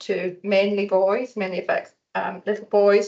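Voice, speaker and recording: With a northern English accent, a woman speaks fairly slowly at a medium pitch. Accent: noticeable non-local accent, northern English. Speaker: research centre staff speaking for a patient-focused partnership. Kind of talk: conference presentation. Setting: hospital conference room with audience.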